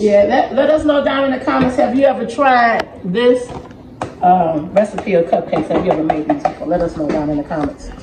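Words come at a fairly quick pace while noticeable background noise carries on behind them. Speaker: grandmother vlogger. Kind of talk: casual vlog chat. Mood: cheerful, relaxed. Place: kitchen. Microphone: phone near.

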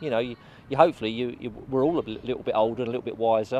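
A man at a very fast pace, dry with no echo, over light background noise. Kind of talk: interview answer. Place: open country.

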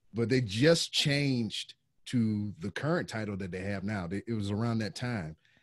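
Against a quiet background with a dry sound and no echo, a man with a Southern US accent speaks at a moderate pace and fairly low pitch, with ordinary pitch variation. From US South. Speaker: podcaster and military veteran. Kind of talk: casual chat. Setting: video call. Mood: relaxed, joking. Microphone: studio mic.

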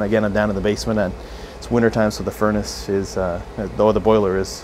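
A man's fairly low voice at a very fast pace, with light background noise. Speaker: camera reviewer. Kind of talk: casual vlog chat. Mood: mildly frustrated, joking. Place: home room.

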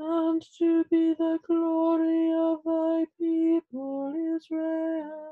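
A woman speaks at an extremely high pitch in a monotone, flat intonation. Her pace is very slow, and the background is quiet. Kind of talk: liturgical reading. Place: home room. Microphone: webcam.

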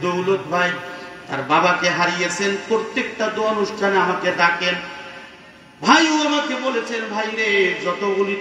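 A raised, projected man's voice, high in pitch with ordinary pitch variation, amid light background noise and audible room echo. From Bangladesh. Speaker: Islamic preacher. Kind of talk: sermon. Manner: loud; animated. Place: tent. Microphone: pa.

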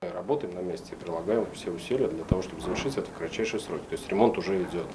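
Talking at a very fast pace, a man uses a low pitch with ordinary pitch variation.

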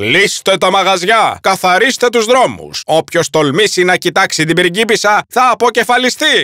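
Using a put-on character voice, a man with a high pitch and a bright, sharp tone makes big pitch swings in a dry, close sound with no echo.

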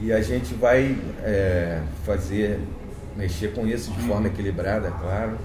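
Against noticeable background noise, a man talks fairly slowly in a fairly low pitch with ordinary pitch variation and long, frequent pauses. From Rio de Janeiro, Brazil. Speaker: comic book creator. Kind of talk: interview answer. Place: home room.

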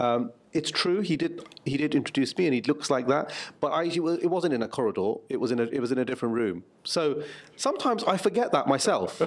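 A man's fairly high voice at a fairly quick pace, with very wide pitch swings and very even loudness. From England, Luton; England. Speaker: writer and journalist; interviewee. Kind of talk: interview. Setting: press junket interview in Seattle. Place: meeting room. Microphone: handheld.

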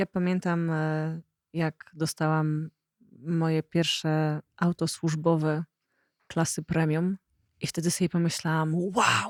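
A woman's fairly low, monotone voice at a very slow pace, with long, frequent pauses and very even loudness, in a dry, close, very clean recording with a silent background and no echo. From Poland, rural. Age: 40s. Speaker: podcast host. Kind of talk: casual interview conversation.

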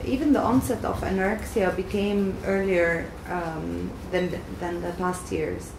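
Background noise is noticeable while a woman talks. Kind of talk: expert explainer. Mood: calm, serious. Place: office.

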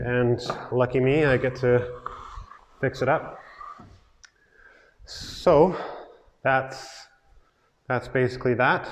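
Light background noise sits behind the recording. A man talks at a fairly slow pace. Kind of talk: tutorial. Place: empty room. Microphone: lapel.

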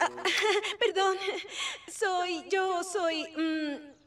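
A woman's cartoonish character voice in a Latin American accent, extremely high in pitch, very slow and fairly even in intonation, with a dry, close sound free of echo and faint background noise. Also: fairly bright tone.

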